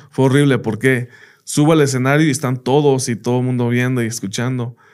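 A man with a plain, everyday voice speaks at a moderate pace in a medium pitch with fairly even intonation. The recording is very clean, with a silent background. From United States. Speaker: teacher. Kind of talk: casual interview chat.

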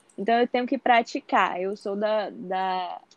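A woman with a normal speaking voice talks fairly slowly at medium pitch with fairly even intonation, the sound dry and close with no echo. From interior of Bahia, Brazil. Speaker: medical student. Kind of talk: interview.

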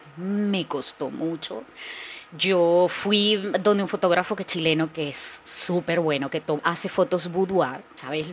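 A woman talks fairly slowly with noticeable background noise present. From Venezuela, Barquisimeto. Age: 40s. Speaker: content creator and comedian. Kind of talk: casual interview chat.

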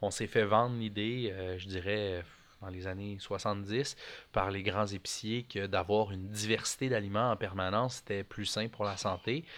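A man's plain, everyday voice, fairly low in pitch, with fairly even intonation and a fairly slow pace, on a very clean recording with a silent background. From Quebec (Montreal). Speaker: micro-greens farmer. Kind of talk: casual interview.

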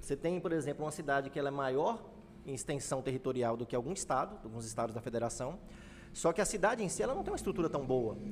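Speaking very fast, a man uses lively intonation at a fairly high pitch. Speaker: podcast host. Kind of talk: casual chat.

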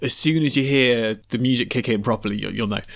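The recording is very clean with a silent background, and the man in it speaks at a moderate pace. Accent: British. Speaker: podcast co-host. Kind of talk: casual chat about music.

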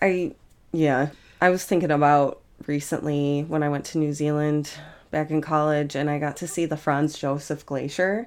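At a moderate pace, a woman speaks in a very deep, low voice. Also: very clean recording, silent background. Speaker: podcast co-host and editor. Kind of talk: casual chat. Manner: casual, profane, animated.

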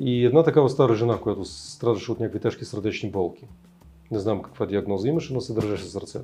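Talking at a very fast pace, a man with a medium pitch uses lively intonation in a dark, mellow, somewhat breathy tone. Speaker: spiritual teacher. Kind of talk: interview.

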